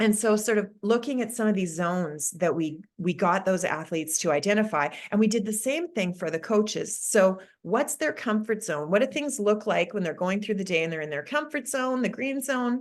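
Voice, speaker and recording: In a Canadian accent, a woman with a medium pitch uses a normal speaking voice, lively intonation and a moderate pace against a quiet background. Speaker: sport psychologist. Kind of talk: webinar presentation.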